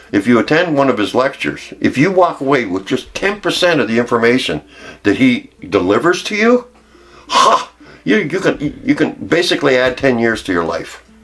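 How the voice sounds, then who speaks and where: This man's pitch swings very widely while he talks at a moderate pace. Noticeable background noise runs behind him. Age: 70s. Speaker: network marketing distributor. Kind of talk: testimony. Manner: enthusiastic.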